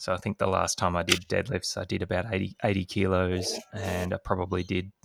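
The recording is very clean with a silent background as a man speaks at a moderate pace in a fairly low pitch. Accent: Australian. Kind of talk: casual podcast chat.

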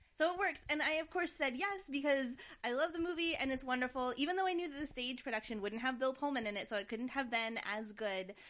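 At a very fast pace and with hardly any pauses, a woman speaks in an animated tone at a high pitch. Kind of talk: casual chat. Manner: fast talker when passionate; animated, joking.

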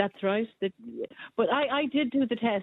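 A woman speaks in an Irish accent, her pitch varying in an ordinary way. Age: 60s. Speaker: caller. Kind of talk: talk radio phone-in.

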